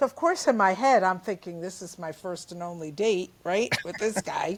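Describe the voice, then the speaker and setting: In a New Jersey accent, the speaker talks at a moderate pace with ordinary pitch variation and big swings in loudness. The recording is very clean, with a silent background. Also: woman, medium pitch for a woman. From New Jersey, Jersey City. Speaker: comedian. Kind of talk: interview. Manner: animated.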